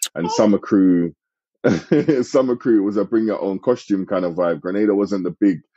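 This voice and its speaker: A man with a British accent, fairly even intonation and a moderate pace. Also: fairly low pitch for a man. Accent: UK. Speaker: sales and operations director. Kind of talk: interview answer.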